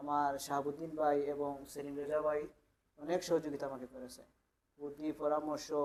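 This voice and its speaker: A man speaks in a fairly high, flat monotone while his loudness swings widely. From Sylhet, Bangladesh. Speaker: migrant worker, visa client. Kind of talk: testimonial.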